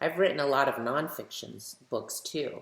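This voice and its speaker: A woman's voice with a warm tone. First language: bilingual English and Spanish. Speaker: children's author reading her book. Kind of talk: story time reading aloud for children. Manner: warm, addressing children directly.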